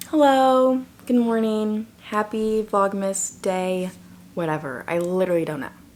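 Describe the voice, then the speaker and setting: A woman speaks in a normal speaking voice with a fairly high pitch. Her intonation is lively and her pace fairly slow. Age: 20s. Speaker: YouTuber. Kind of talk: casual vlog talk to camera.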